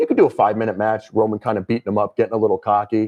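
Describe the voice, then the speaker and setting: Here a man speaks with a Connecticut accent in a dark, mellow tone. The sound is dry and close, with no echo. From southwestern Connecticut. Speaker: wrestling fan panelist. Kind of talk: casual chat. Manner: animated.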